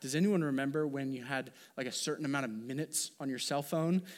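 A plain, everyday voice from a man, fairly high in pitch with ordinary variation, on a very clean recording with a silent background. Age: 30s. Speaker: pastor. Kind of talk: sermon.

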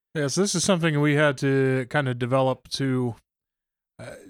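A man with a plain, everyday voice speaks at a medium pitch with fairly even intonation in a very clean recording with a silent background. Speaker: pastor. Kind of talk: casual discussion.

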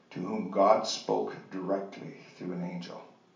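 A man speaks at a very slow pace. There is noticeable background noise. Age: 70s. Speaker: men's ministry speaker. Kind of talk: sermon. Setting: church.

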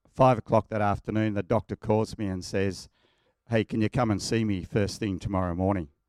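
Recorded very cleanly with a silent background and a dry, close sound with no echo, a man with an Australian accent speaks at a fairly quick pace and fairly low pitch. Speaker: church member sharing testimony. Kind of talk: testimony. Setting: church.

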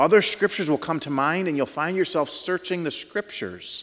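A plain, everyday voice from a man, fairly quick, pitched fairly high. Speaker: pastor. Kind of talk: sermon. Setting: church.

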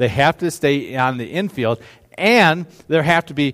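The man talks at a fairly high pitch with ordinary pitch variation. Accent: slight Upper Midwest. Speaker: pastor. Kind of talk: sermon.

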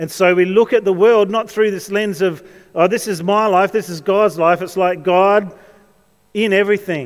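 A man with an Australian accent, high-pitched, fairly even intonation, moderate pace. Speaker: pastor. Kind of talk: sermon. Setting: church.

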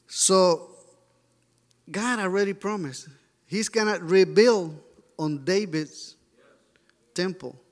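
A man with a Mexican accent and a high pitch, at a very slow pace with long, frequent pauses. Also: ordinary pitch variation. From Mexico. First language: Spanish. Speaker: church member sharing a mission report. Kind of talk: sermon. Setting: church. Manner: halting.

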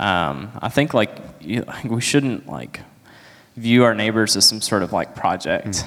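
With lively intonation and some vocal fry, a man speaks at a medium pitch and a fairly slow pace. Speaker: church member giving testimony. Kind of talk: testimony.

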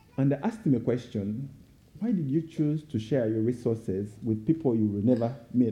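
At a moderate pace, a man speaks in a somewhat breathy, medium-pitched voice with ordinary pitch variation. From Uganda. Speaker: guest speaker for a child sponsorship charity. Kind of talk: sermon; testimony. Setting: church.

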